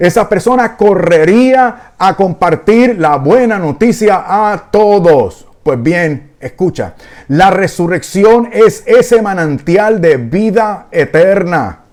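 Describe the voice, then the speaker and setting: The speaker talks at a very slow pace with lively intonation and very even loudness. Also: man, high pitch for a man. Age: 60s. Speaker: preacher. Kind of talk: sermon. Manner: agitated, intense.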